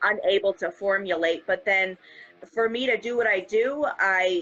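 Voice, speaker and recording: A woman with an American accent talks at a moderate pace. Her voice is fairly high, with a bright, sharp tone. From New Hampshire, US. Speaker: hip-hop artist. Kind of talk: casual interview chat. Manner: animated.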